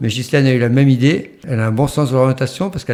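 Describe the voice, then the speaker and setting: With a dark, mellow tone, a man talks very fast at medium pitch and ordinary pitch variation. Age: 60s. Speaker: retired hiker guest. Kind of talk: casual interview, telling anecdotes. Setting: podcast recording with wife present. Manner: halting, many hesitations and repetitions.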